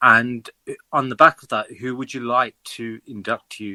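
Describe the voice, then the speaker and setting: With a British accent and a bright, sharp tone, a man speaks at a moderate pace and medium pitch in a dry, close sound with no echo. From United Kingdom. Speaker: fan asking questions. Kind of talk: casual interview.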